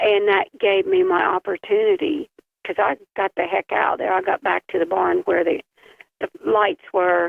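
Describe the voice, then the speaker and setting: At a moderate pace, a woman speaks with very even loudness. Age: 60s. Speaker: bigfoot witness. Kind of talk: casual chat. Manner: halting.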